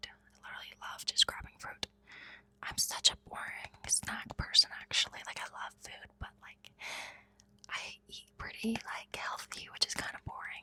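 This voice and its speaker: A woman whispers over noticeable background noise. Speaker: ASMR creator. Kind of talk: ASMR rambling, casual chat to camera. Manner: whispered, soft-spoken.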